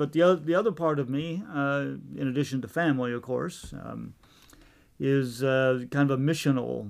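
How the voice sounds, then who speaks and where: In a normal speaking voice, a man talks at a fairly quick pace. His pitch is medium and his intonation lively. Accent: American. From Virginia, US. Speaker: theology professor. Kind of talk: interview.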